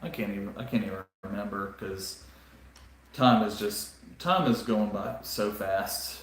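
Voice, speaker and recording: In a Southern US accent, a man with a fairly low pitch speaks at a fairly slow pace with monotone, flat intonation, amid audible room echo and noticeable background noise. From US South, South Carolina. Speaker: Lego live streamer. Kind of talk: casual chat. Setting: live stream. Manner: halting, many fillers.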